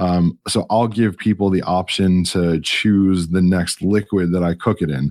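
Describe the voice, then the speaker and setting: A man speaks at a fairly slow pace in a very deep, low pitch. His intonation is fairly even and his loudness very even. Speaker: podcaster and photographer. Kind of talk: casual interview conversation. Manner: halting, with filler words.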